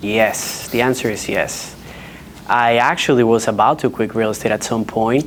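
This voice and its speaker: A man with a strong Dominican accent, medium pitch and fairly even intonation at a moderate pace, over noticeable background noise. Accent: heavy Dominican Spanish. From Dominican Republic. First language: Spanish. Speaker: real estate agent. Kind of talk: panel discussion. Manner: halting, with restarts.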